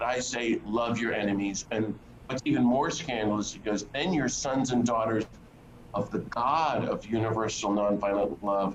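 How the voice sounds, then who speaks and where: A man with an American accent speaks at medium pitch and a moderate pace with ordinary pitch variation over noticeable background noise. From US South, North Carolina. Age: 60s. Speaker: priest and peace activist. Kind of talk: interview conversation.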